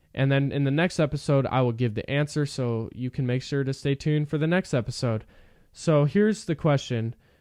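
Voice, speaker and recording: Against a quiet background, a man with a fairly high pitch speaks at a fairly quick pace. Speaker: sports podcast host. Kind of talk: solo podcast commentary. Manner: monotone; hesitant, many fillers.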